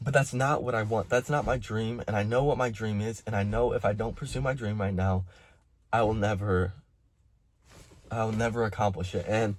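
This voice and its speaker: A man with a fairly low pitch speaks at a fairly quick pace, his voice shaky. The recording is very clean, with a silent background. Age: 20s. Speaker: concrete contractor. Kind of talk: personal vlog monologue. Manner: halting.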